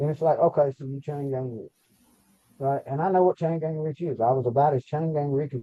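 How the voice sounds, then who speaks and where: Talking at a fairly quick pace with a Southern US accent, a man has a fairly high pitch. His loudness swings widely. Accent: country, rural Southern US. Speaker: podcast co-host, former prison inmate. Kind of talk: casual chat. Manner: animated.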